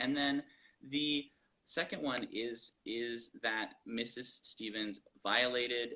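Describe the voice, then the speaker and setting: At a very slow pace, a man with an American accent speaks in a medium pitch with fairly even intonation. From Georgia, US South. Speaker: policy director. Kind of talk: interview. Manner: halting, repeating words.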